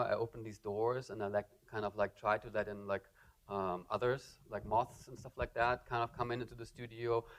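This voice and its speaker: A man's medium-pitched voice, fairly quick and in a monotone, flat intonation. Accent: German. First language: German. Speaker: artist. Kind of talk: lecture Q&A. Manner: halting, many fillers.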